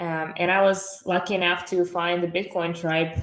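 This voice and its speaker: This woman speaks with a Russian accent at a moderate pace. Her fairly low voice stays monotone and flat. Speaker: entrepreneur. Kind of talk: podcast interview.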